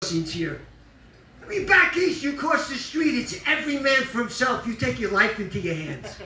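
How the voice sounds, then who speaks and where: Over noticeable background noise and audible room echo, a man speaks at a moderate pace in a raised, projected voice. His pitch is extremely high and swings very widely. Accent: New York. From New York. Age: 70s. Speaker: comedian. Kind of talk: stand-up.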